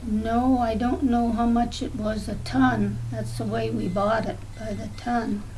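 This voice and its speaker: A woman speaks at a fairly slow pace with hardly any pauses, amid noticeable background noise and audible room echo. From southwestern Ontario, Canada. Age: 80s+. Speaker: grandmother interviewed about the past. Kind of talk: oral history interview. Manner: hesitant, with many fillers.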